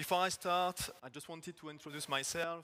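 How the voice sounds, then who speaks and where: This is a man with a French accent. He talks fairly quickly. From France. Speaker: agile technical coach. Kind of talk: conference talk. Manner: halting.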